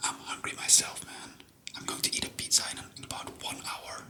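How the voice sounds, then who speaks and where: A man whispers with a Flemish accent. Noticeable background noise runs behind him. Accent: Flemish Belgian. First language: Flemish (Dutch). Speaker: ASMR history youtuber. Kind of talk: casual ASMR talk. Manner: whispering; halting.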